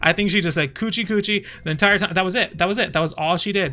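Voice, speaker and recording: With music in the background, a man speaks very fast in a raised, projected voice at high pitch with ordinary pitch variation. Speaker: streamer. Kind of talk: casual commentary on a livestream. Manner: animated, halting with frequent fillers.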